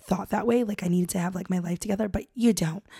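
A woman talks at a fairly quick pace in a somewhat breathy voice with a dark, mellow tone and monotone, flat intonation. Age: 30s. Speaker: podcast host. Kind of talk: solo podcast monologue. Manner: casual, filler-heavy.

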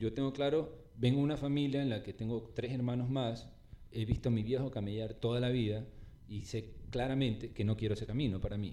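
A man speaks at a medium pitch, with a normal speaking voice. His intonation stays fairly even. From Ecuador, Guayaquil. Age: 40s. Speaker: urban artist. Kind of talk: casual chat. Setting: at his home.

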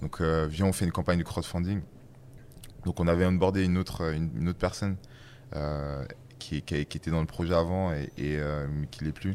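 With ordinary pitch variation, the talking runs at a fairly quick pace. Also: man. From western France. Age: 30s. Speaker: startup founder. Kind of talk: casual chat. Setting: studio.

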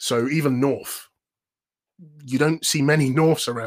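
A man speaks with an energetic tone in a London accent. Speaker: voiceover artist and presenter coach. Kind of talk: casual interview. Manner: upbeat.

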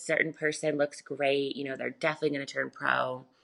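Using an American accent, a woman with a very deep, low pitch talks fairly quickly in a bright, sharp tone with vocal fry. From US South, Charlotte, North Carolina. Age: 20s. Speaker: bikini competitor and prep coach. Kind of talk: casual interview.

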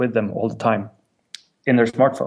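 This man speaks with a Swedish accent at a medium pitch. His intonation stays fairly even. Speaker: music company representative. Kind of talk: interview. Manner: halting.

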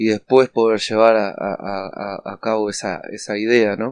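A man at a medium pitch and a fairly slow pace, over a quiet background. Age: 40s. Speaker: addiction counselor. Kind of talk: podcast monologue. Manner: halting, frequent fillers.

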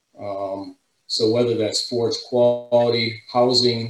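A man with a plain, everyday voice speaks in a medium pitch at a fairly slow pace. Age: 50s. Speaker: dairy nutrition technical consultant. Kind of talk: webinar presentation and panel discussion.

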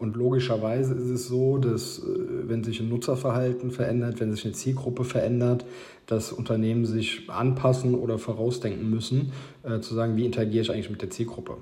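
A man speaks at a medium pitch and a fairly quick pace, with fairly even intonation. Room echo is audible. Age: 30s. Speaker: marketing consultant. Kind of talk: interview.

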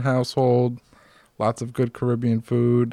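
A man's plain, everyday voice with an American accent, medium in pitch, at a fairly slow pace. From US Northeast (Norwood area). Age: 30s. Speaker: heart transplant survivor and author. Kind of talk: casual chat. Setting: at home.

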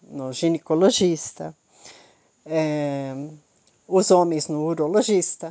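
A woman's fairly low voice at a very slow pace, with ordinary pitch variation. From Brazil, Curitiba. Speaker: mentor / life coach. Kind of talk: motivational talk. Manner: conversational, informal.

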